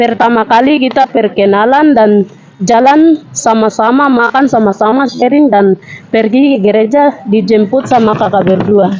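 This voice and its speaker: A fairly high-pitched woman at a moderate pace, with ordinary pitch variation, very even loudness and noticeable background noise. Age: 20s. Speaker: student, training participant. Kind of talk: reading aloud a written self-introduction. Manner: halting.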